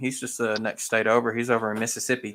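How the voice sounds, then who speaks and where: In a very clean recording with a silent background, a man with a Southern US accent talks in a bright, sharp tone and fairly even intonation. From Arkansas, US South. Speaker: model train hobbyist host. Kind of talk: casual livestream chat. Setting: live video stream.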